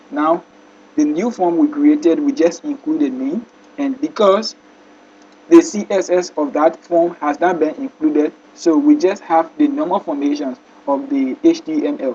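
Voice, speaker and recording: Over noticeable background noise, a man talks in a high pitch with very wide pitch swings. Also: moderate pace. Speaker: coding tutorial teacher. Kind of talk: tutorial.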